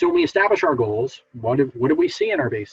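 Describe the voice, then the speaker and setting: A somewhat breathy male voice. His pitch varies in an ordinary way. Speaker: behavior analyst presenter. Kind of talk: lecture. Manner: fast; hesitant fillers.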